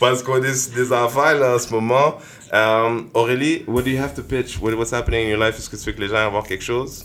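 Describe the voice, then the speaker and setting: A man with a plain, everyday voice, medium pitch, fairly even intonation, and a fairly quick pace. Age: 30s. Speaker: podcast host. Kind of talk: casual chat.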